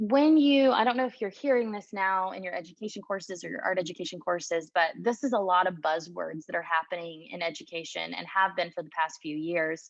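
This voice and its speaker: With a plain, everyday voice and an American accent, a woman speaks at a fairly quick pace and a fairly low pitch, with lively intonation, hardly any pauses, and a quiet background. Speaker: art educator. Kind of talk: lecture. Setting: video call.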